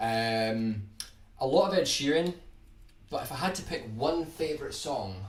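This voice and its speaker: In a Scottish accent, a man speaks at a fairly slow pace with very wide pitch swings and long, frequent pauses, amid audible room echo and noticeable background noise. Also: fairly high pitch for a man. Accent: Scottish, toned down on streams. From Scotland, Edinburgh. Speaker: guitar YouTuber. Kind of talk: live stream chat answering viewer questions.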